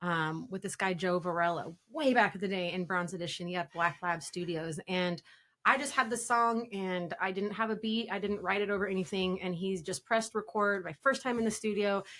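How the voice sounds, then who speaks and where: A woman with a Pacific Northwest accent, medium pitch and a bright, sharp tone, at a fairly quick pace with hardly any pauses. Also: ordinary pitch variation. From Spokane area, Washington. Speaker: rapper. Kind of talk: interview.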